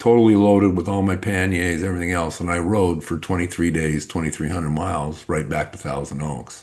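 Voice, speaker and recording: With a very deep, low pitch, a man talks at a fairly quick pace with hardly any pauses and fairly even intonation. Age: 60s. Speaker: business coach. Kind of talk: interview. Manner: casual.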